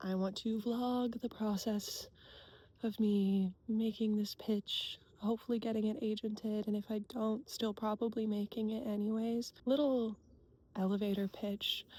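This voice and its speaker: Quiet and somewhat breathy, this dark, mellow voice with an American accent moves at a fairly slow pace, its loudness very even and its intonation monotone and flat. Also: woman, fairly high pitch for a woman. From US Pacific Northwest. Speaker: cartoonist and illustrator vlogger. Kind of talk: casual vlog. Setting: outdoors at a lake.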